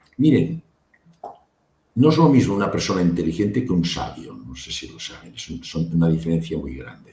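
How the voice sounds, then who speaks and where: Very deep, low-pitched man with a dark, mellow tone, vocal fry, very wide pitch swings and big swings in loudness. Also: moderate pace. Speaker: medical doctor and near-death experience researcher. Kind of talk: interview.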